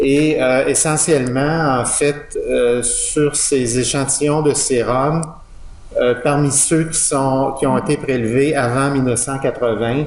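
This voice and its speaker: In a Quebec accent, a man with a fairly high pitch speaks at a very slow pace and fairly even intonation, over noticeable background noise and audible room echo. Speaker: professor. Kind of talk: lecture. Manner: halting, many fillers.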